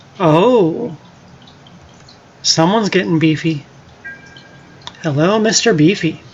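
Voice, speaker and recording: Over noticeable background noise, a woman with a fairly low pitch speaks very slowly, with lively intonation and long, frequent pauses. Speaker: gaming streamer. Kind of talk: live gameplay commentary. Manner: casual, animated.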